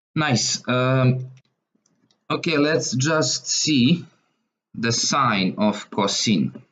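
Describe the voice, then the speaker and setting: A man talks with a Serbian accent. His pace is very slow. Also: long, frequent pauses, very even loudness. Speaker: math tutor. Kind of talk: tutorial. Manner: halting, with frequent fillers. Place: home room.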